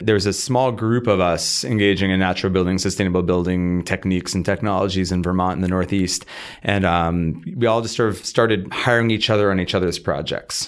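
A man's very deep, low voice with fairly even intonation and hardly any pauses, in a very clean recording with a silent background. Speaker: builder and consultant. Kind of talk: interview.

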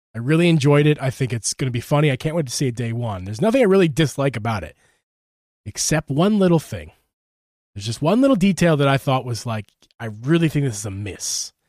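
In a Philadelphia accent, a man with a fairly high pitch talks very fast in an animated tone with lively intonation, on a very clean recording with a silent background. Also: dry, close sound with no echo. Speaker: gaming podcast host. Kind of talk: casual chat.

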